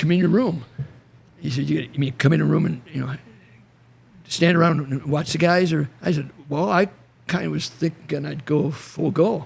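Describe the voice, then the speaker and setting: A man with a fairly high voice and vocal fry talks at a moderate pace. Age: 70s. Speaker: retired wrestling coach. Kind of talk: casual chat. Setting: podcast in a garage.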